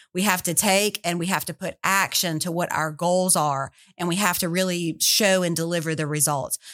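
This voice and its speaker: With a Southern US accent, a woman speaks at a fairly low pitch with hardly any pauses. Her intonation is fairly even on a very clean recording with a silent background. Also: moderate pace, dry, close sound with no echo. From Louisiana. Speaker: tourism executive. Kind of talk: interview. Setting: studio.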